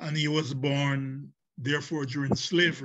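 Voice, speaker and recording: Over a quiet background, a man speaks very slowly with a Jamaican accent. His voice is somewhat breathy and fairly high-pitched. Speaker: professor and visual artist; professor guest. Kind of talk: panel discussion. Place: home room. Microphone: video call.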